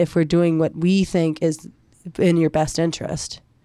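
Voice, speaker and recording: An ordinary speaking voice from a woman at a moderate pace, captured in a very clean recording with a silent background. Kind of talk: casual chat.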